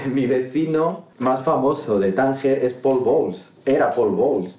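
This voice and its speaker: A man talks at a very slow pace, with audible echo in the room. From Morocco, Tangier. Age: 30s. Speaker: interview guest. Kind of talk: casual interview. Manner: halting, many repetitions and fillers.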